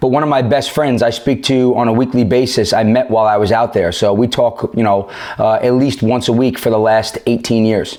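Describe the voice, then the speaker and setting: Talking at a fairly quick pace with hardly any pauses, a man with a medium pitch speaks in a New York accent. His intonation is fairly even, his loudness very even, and noticeable background noise runs underneath. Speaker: police officer. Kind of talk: podcast interview. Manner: halting.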